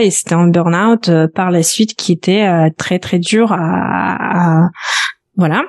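With a slight Belarusian accent, a woman speaks at a fairly low pitch with ordinary pitch variation, in a dry, close sound with no echo. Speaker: personal finance coach. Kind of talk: podcast interview. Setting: at home office.

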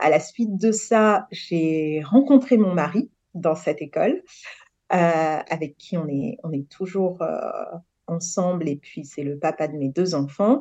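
Speaking at a very slow pace, a woman has a fairly low pitch, a dark, mellow tone and lively intonation. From Senegal. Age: 30s. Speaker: project manager in real estate. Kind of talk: interview testimony.

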